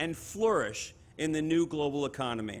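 A man speaks at a moderate pace as faint music sits in the background. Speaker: exchange host welcoming company. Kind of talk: ceremonial speech. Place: stage. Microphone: podium.

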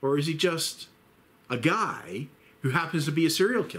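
A man talks at a fairly high pitch. His voice carries vocal fry. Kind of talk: casual commentary talk. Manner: rambling, hesitant.

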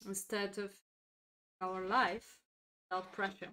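A very slow woman's voice, bright and sharp in tone, with a non-native accent. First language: not English. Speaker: chess grandmaster and streamer. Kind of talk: chess lesson livestream. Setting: live stream.

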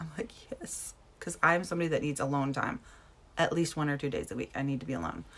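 With an American accent and vocal fry, the speaker talks at a very fast pace. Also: woman, very deep, low pitch for a woman, ordinary pitch variation. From US Midwest (Wisconsin). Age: 40s. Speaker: direct sales team director. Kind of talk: motivational talk, live stream. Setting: Facebook live video. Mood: passionate, emphatic, blunt. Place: home room. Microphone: phone near.

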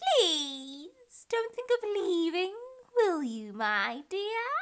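A woman's shrill, put-on character voice. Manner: threatening.

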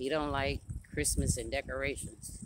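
Noticeable background noise surrounds a woman whose voice sounds dry, with no echo. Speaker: grandmother vlogger. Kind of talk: casual vlog chat. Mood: chatty, animated. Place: street. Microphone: phone near.

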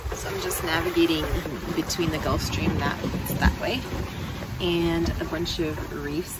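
Against loud background noise, the woman's voice comes across dry, with no echo. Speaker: sailing vlogger. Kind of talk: casual vlog chat. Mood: cheerful and excited. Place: boat. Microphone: phone near.

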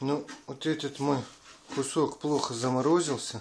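At a very slow pace, a man speaks over light background noise. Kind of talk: tutorial. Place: kitchen.

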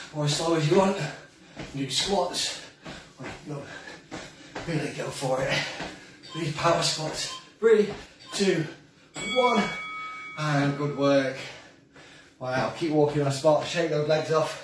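A man's fairly slow speech with long, frequent pauses and ordinary pitch variation, amid noticeable background noise and audible room echo. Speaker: fitness instructor. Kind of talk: live workout coaching. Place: kitchen. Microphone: camera far.

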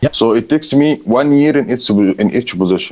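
A man talks with an Arabic accent. His pitch swings very widely. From Egypt. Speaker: hotel finance director. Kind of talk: interview. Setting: video call. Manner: halting.

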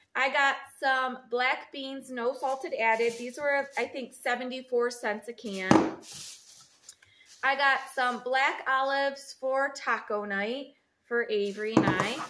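Through loud background noise, a woman speaks at a fairly slow pace. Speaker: home vlogger. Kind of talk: casual vlog chat. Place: kitchen. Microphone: phone near.

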